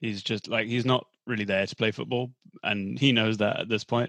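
At a fairly quick pace comes a plain, everyday voice, recorded dry and close with no echo. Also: man. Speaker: podcast host. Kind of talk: casual banter about football.

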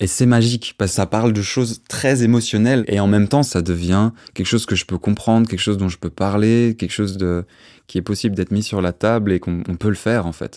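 A man's normal speaking voice, fairly low and fairly even in intonation, at a fairly quick pace, with a dry, close sound with no echo, on a very clean recording with a silent background. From Brussels, Belgium. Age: 20s. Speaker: drummer and musician. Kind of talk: personal testimony.

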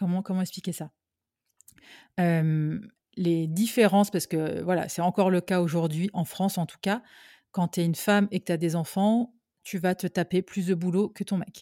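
With long, frequent pauses, a woman speaks at a fairly slow pace and fairly low pitch, her tone dark and mellow and her intonation fairly even, on a very clean, dry, close recording with no echo and a silent background. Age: 40s. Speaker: writer and podcaster, entrepreneur. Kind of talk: interview.

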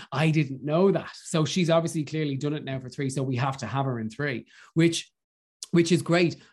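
Speaking with an Irish accent, a man uses a fairly high pitch, fairly even intonation, a somewhat breathy quality and a moderate pace against a quiet background. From Ireland. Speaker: radio host and drag performer. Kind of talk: casual chat.

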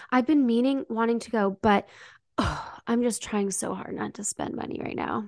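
A woman with a normal speaking voice talks at a moderate pace, her pitch fairly high and its variation ordinary. Her loudness swings widely, and the sound is dry and close with no echo. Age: 30s. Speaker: podcast co-host. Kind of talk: casual chat. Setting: remote call.

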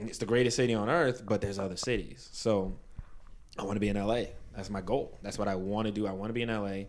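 A man with a New York accent talks at a very fast pace, his fairly low pitch held in a fairly even intonation. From Brooklyn, New York (Canarsie), Caribbean parents. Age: 20s. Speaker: teacher. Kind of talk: casual chat.

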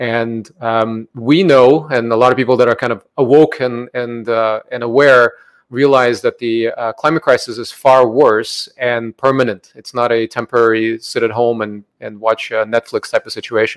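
In an ordinary speaking voice, the talker keeps a moderate pace and fairly even intonation, with a dry, close sound and no echo. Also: man, medium pitch for a man. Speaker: podcast host. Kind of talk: interview.

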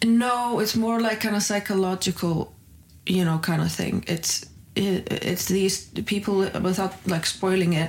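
A woman with an Icelandic accent talks fairly slowly at a medium pitch, with fairly even intonation and very even loudness. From northern Iceland. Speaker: comedian. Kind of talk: casual chat. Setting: green room backstage at comedy club.

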